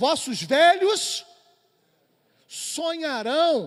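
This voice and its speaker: An animated man speaks at an extremely high pitch. His intonation is lively. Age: 50s. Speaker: doctor and church speaker. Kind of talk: lecture. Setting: church.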